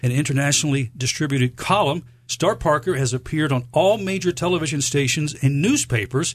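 A man talks at a fairly quick pace in a fairly high, somewhat breathy voice. His pitch variation is ordinary. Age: 50s. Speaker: radio host. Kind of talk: radio interview.

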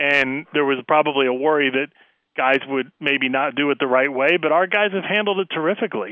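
An ordinary speaking voice from a man with an American accent, a fairly high pitch, ordinary pitch variation, very even loudness and a fairly quick pace. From central Pennsylvania. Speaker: basketball league communications executive. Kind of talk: radio interview. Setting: phone call.

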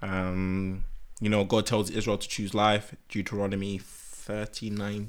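A man talks at a very slow pace in a fairly low pitch, his intonation monotone and flat. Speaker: podcast co-host. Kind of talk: casual chat.

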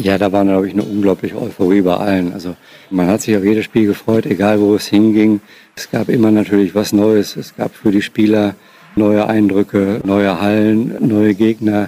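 A man's fairly low voice moves at a moderate pace, its intonation monotone and flat. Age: 50s. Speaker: former radio sports reporter. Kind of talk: interview recollection.

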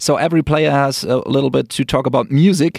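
In a German accent, a man speaks at a fairly high pitch, with a dry, close sound with no echo on a very clean recording with a silent background. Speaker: radio podcast host. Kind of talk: casual interview; radio presenting.

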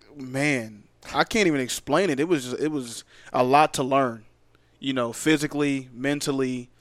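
A fairly high-pitched man talks at a fairly slow pace with an American accent. The recording is very clean, with a silent background. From US Northeast, Philadelphia. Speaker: professional football player. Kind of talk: podcast interview. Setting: studio.

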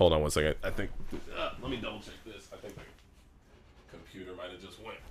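Someone with an American accent talks very fast yet with long, frequent pauses, and audible room echo surrounds the voice. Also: man. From Los Angeles, San Fernando Valley. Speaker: YouTuber and comedian. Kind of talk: casual chat.

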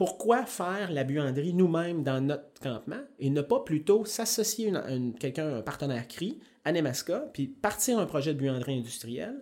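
A man's fairly high voice with a Quebec accent, very wide pitch swings, and a dark, mellow tone. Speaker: mining company environmental manager. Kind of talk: interview. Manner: halting.

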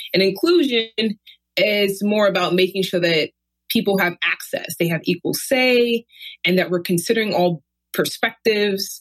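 At a moderate pace and very even loudness, a woman with an American accent talks in a normal speaking voice, medium in pitch with ordinary pitch variation. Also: dry, close sound with no echo. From Brooklyn, New York. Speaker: university diversity administrator. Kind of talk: casual interview.

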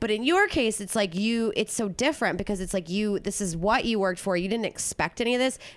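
Talking very fast in an animated tone, a woman uses a fairly high pitch with ordinary pitch variation. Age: 30s. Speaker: podcast host, comedian. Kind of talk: casual interview chat.

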